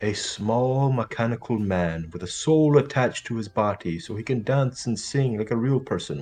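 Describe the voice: The clip consists of plain reading aloud.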